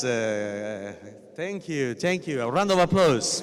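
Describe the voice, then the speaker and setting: A man with an Italian accent speaks at a very slow pace with very wide pitch swings, amid noticeable background noise and audible room echo. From Italy. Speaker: professor. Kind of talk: lecture. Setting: stage with audience.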